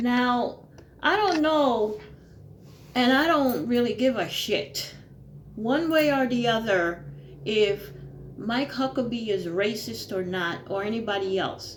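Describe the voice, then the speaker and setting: A woman talks at a very slow pace with long, frequent pauses and very wide pitch swings, in a recording with audible room echo. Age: 60s. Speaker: retired YouTuber. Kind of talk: opinion monologue. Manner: informal, conversational with frequent fillers.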